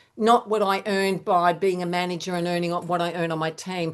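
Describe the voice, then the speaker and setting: Over a quiet background, a woman with an unremarkable speaking voice talks at medium pitch and a moderate pace, her intonation fairly even. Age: 60s. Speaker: direct sales team leader. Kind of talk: webinar Q&A.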